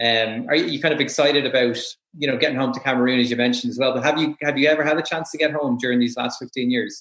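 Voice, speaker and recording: Very fast and with an Irish accent, a man speaks at a medium pitch with fairly even intonation. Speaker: sports podcast host. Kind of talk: interview.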